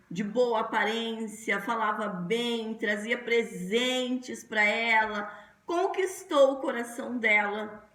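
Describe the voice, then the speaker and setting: Noticeable background noise sits behind a woman with a fairly high pitch and ordinary pitch variation. She speaks at a very slow pace with hardly any pauses. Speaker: pastor. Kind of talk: sermon.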